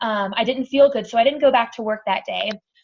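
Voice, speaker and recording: In an American accent, a woman with a fairly high pitch sounds animated, her pitch varying in an ordinary way. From Texas. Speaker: cancer survivor. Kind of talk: testimony. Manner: fast.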